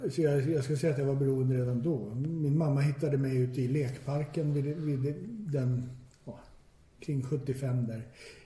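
A man's fairly high, somewhat breathy voice with a dark, mellow tone, flat monotone intonation at a moderate pace, and audible room echo. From Stockholm, Sweden. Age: 40s. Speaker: recovering addict. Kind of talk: personal testimony. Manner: halting, repetitive.

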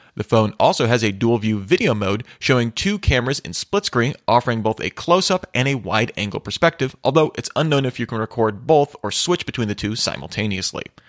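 A man talks at a fairly quick pace with hardly any pauses and lively intonation, using a normal speaking voice at medium pitch. The sound is dry and close with no echo. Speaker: tech news host. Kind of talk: formal newsreading, steady scripted delivery of headlines. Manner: formal; brisk, even-paced, matter-of-fact.

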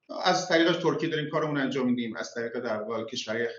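A man talks at a very fast pace. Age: 40s. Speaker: tech entrepreneur. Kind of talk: casual interview.

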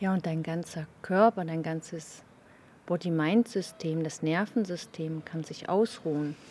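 A dark, mellow tone carries speech at a fairly slow pace with ordinary pitch variation. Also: woman, fairly low pitch for a woman. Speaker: meditation co-host. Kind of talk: casual conversation about meditation.

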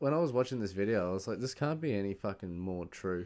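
A man with an Australian accent talks at a fairly quick pace in a fairly low pitch, with lively intonation. The recording is very clean, with a silent background. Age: 20s. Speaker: podcast host. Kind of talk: casual chat.

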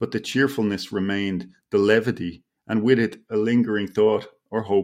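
A man with an Irish accent, fairly low in pitch, at a moderate pace with fairly even intonation. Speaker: author. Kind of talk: casual literary interview chat. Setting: video call from home.

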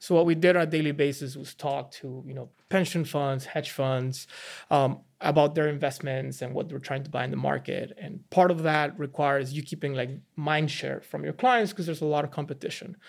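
A man with a Mexican accent talks at a fairly quick pace and fairly high pitch, his intonation fairly even but with big swings in loudness, on a very clean recording with a silent background. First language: Spanish. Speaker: NFT investor and former finance trader. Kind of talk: podcast interview. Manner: casual, conversational.

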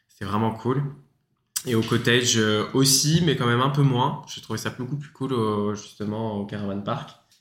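Moderate-paced speech from a man at a medium pitch, ordinary pitch variation, and audible room echo. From France, Paris. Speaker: student, former fruit picker. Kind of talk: casual interview.

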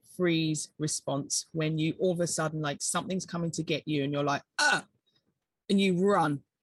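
A woman speaks at a fairly low pitch with ordinary pitch variation. Her voice is somewhat breathy and her pace moderate. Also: dry, close sound with no echo. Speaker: wellness entrepreneur and breath coach. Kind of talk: interview conversation. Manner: calm, reflective.

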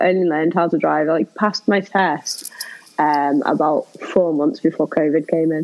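Here a woman talks with a Liverpool accent. Noticeable background noise is audible. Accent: Liverpool (Scouse) English. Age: 30s. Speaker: comedian and burlesque performer. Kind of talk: casual chat.

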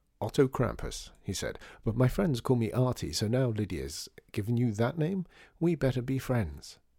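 The recording consists of plain reading aloud.

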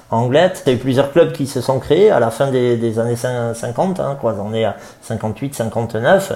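Very slow male speech, mid-range in pitch with ordinary pitch variation, amid noticeable background noise. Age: 40s. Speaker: surf club director. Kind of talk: interview. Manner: halting, many fillers.

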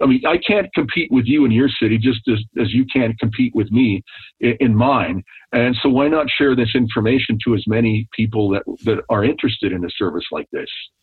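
At a fairly quick pace, a man talks in an unremarkable speaking voice of medium pitch with ordinary pitch variation. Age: 60s. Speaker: business owner and author. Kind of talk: interview.

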